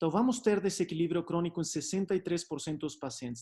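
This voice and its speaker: Over a quiet background, a man talks with pitch that varies in an ordinary way. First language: Spanish (speaking Portuguese). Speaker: doctor. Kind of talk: lecture. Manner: hesitant, many fillers.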